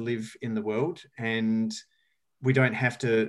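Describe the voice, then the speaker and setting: Against a quiet background, a man talks with an Australian accent. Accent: Australian, noticeable. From rural South Australia. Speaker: sustainability educator and speaker. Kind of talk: casual interview.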